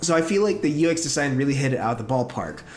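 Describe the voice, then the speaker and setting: A man's voice sits fairly high in pitch. He talks at a very fast pace over background music. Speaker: professional animator and story artist. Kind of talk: casual talk to camera, software review.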